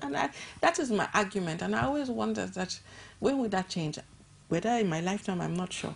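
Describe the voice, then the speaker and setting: Speaking at a fairly quick pace, a woman shows vocal fry and very wide pitch swings. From Nigeria. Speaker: NGO director and gender activist; guest. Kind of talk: TV interview. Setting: TV studio. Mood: thoughtful, earnest. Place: studio. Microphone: lapel.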